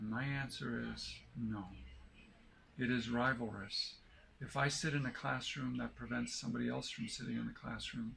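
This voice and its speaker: There is audible room echo as a man speaks at a moderate pace. He leaves long, frequent pauses. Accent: American. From United States. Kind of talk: explanatory interview answer.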